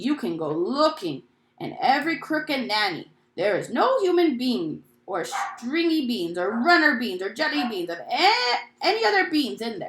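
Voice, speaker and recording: A female-sounding, high-pitched put-on character voice swings very widely in pitch. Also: moderate pace. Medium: read story. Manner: soft, mangled grammar.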